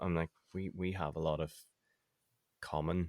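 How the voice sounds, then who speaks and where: In a Northern Irish accent, a man speaks at a very deep, low pitch, with a dry, close sound with no echo on a very clean recording with a silent background. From Northern Ireland. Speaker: website designer and email marketing expert. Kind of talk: casual interview chat.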